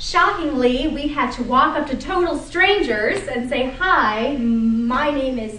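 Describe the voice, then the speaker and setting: Speaking very slowly in a high voice with very wide pitch swings, a woman is heard amid audible room echo and noticeable background noise. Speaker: attorney giving a speech. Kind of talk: prepared speech to audience.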